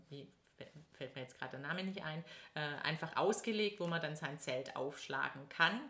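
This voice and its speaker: Her pitch very deep and low, a woman speaks with a bright, sharp tone and lively intonation. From Stuttgart, Swabia. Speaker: blogger and PR consultant. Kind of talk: casual interview. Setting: sitting on a sofa in Stuttgart.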